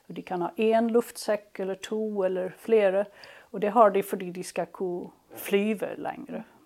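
A woman speaks at a moderate pace in a medium pitch, her intonation fairly even while her loudness swings widely. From southern Sweden, Skåne (Helsingborg). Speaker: palynologist researcher. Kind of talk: interview. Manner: halting, many fillers and repetitions.

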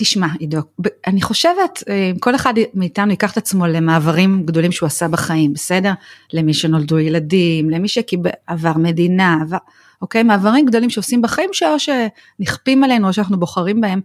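In an ordinary speaking voice, a woman talks at a moderate pace and medium pitch with lively intonation. Her loudness stays very even, and the sound is dry and close with no echo. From Israel. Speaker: nonprofit executive. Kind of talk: interview.

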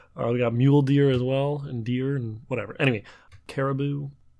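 A man speaks at a moderate pace in an ordinary speaking voice. His pitch sits fairly high. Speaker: trivia podcast co-host, does the editing. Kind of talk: casual banter between brothers.

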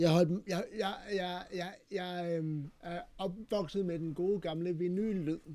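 A man's dark, mellow voice, high in pitch, at a very slow pace with hardly any pauses and fairly even intonation. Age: 40s. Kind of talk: casual chat. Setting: studio. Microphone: poor sound quality.

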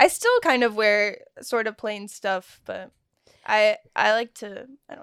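Talking at a fairly slow pace in an American accent, a woman with an unremarkable speaking voice and a fairly high pitch shows ordinary pitch variation and big swings in loudness. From Texas. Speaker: comedy show host, podcast guest. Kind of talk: casual chat.

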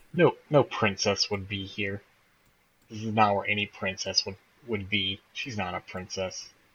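A put-on character voice whispers at a moderate pace. The whole delivery stays hushed. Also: man. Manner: loud stage whisper, acted as a whisper.

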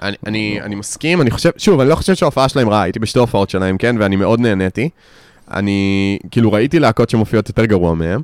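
Speaking at a very fast pace, a man with a fairly low pitch uses lively intonation in a dry, close sound with no echo. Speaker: podcast co-host discussing music albums. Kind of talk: casual chat.

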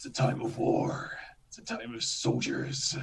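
A man puts on a character voice. It sounds gravelly and hoarse. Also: moderate pace. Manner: dramatic, epic, declamatory.

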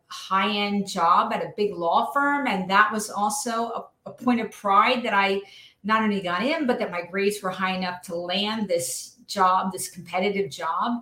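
Over noticeable background noise, a woman with an American accent speaks with ordinary pitch variation. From New Jersey. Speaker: former judge in recovery, author. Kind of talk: interview testimony. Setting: live stream.

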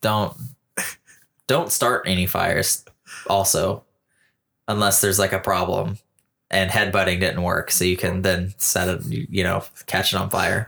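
Over a silent background in a very clean recording, a man with a very deep, low pitch speaks in a bright, sharp tone, keeping his loudness very even and his pitch variation ordinary while taking long, frequent pauses. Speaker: podcast co-host, artist. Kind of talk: casual chat. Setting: wearing headphones, recording podcast. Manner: softer, subdued on mic.

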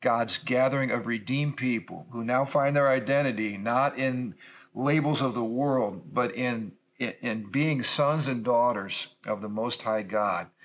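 A man's medium-pitched voice with an American accent, a normal speaking voice, ordinary pitch variation and a fairly slow pace, on a very clean recording with a silent background. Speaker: pastor. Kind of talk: casual discussion.

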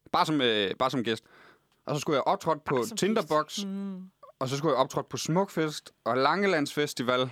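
With a plain, everyday voice, a man with a fairly high pitch speaks at a moderate pace with lively intonation in a dry, close sound with no echo. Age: 20s. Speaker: comedian. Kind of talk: casual chat. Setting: studio.

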